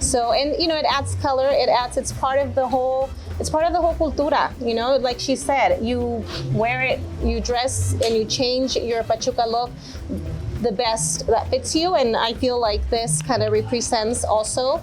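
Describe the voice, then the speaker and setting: The speaker's loudness stays very even at a moderate pace. Music plays in the background. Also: woman. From Mexico, moved to US at seven. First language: Spanish. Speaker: interviewee at a cultural reunion. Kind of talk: casual interview.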